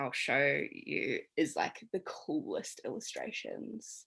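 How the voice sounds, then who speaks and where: A woman speaks with a slight New Zealand accent. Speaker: tarot reader. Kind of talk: online workshop teaching. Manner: casual, many filler ums.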